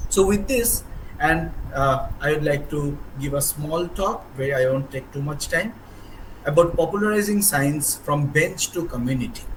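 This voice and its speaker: A man with a Bengali accent talks at a moderate pace and a fairly high pitch, with audible room echo and noticeable background noise. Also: ordinary pitch variation. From India. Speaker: professor. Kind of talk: speech. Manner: energetic; halting.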